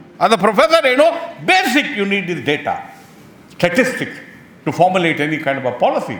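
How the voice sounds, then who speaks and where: Amid noticeable background noise, a man speaks at a high pitch and a fairly quick pace. His pitch swings very widely. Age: 70s. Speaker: professor. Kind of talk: seminar speech. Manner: emphatic, repetitive.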